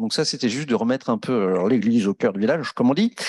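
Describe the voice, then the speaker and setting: Lively intonation carries through a dry, close sound with no echo. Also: man. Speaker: housing association director, panelist. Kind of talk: round table discussion. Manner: fast; many hesitations and fillers.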